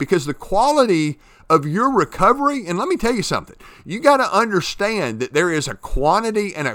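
In a very clean recording with a silent background, a man projects a raised voice that is high-pitched and bright, sharp in tone, with very wide pitch swings. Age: 50s. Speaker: podcast host, recovery coach. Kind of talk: solo motivational monologue. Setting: home at a farm, early morning. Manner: hesitant with many fillers and restarts.

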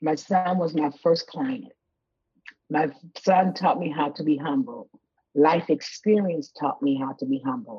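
Speaking fairly slowly with long, frequent pauses, a woman uses a very deep, low pitch, a dark, mellow, somewhat breathy tone and very wide pitch swings. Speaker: mental health clinician. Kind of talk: casual interview. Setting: video call. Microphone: rough connection, delay.

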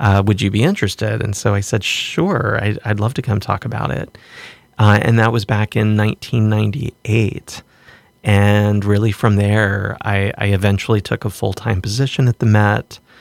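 This is an ordinary speaking voice from a man with an American accent, pitched fairly low. He keeps a moderate pace and fairly even intonation. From US South, southwestern Virginia. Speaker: art gallery director and professor. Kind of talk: casual interview. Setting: studio.

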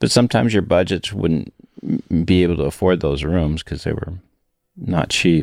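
An American accent marks this man's very deep, low voice, which moves at a moderate pace with ordinary pitch variation in a dry, close sound with no echo. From Peoria, Illinois, US Midwest. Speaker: podcast co-host, recording engineer. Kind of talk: casual chat. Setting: recording studio.

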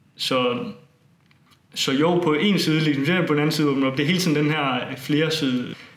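Room echo can be heard as a man speaks at a moderate pace. His pitch is fairly high, with ordinary variation. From Denmark, Funen (Bogense). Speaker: student and tour organizer. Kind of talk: interview. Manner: hesitant, many fillers.

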